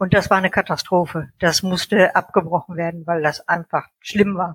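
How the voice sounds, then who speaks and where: The voice has a bright, sharp tone in a dry, close sound with no echo. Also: woman. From North Rhine-Westphalia, Germany. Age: 60s. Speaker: author and editor. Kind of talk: casual interview. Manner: hesitant, many fillers.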